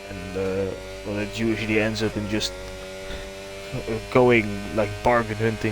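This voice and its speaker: With music in the background, someone with a Dutch accent speaks at a fairly slow pace, leaving long, frequent pauses. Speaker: streamer. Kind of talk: live-stream commentary, casual chat.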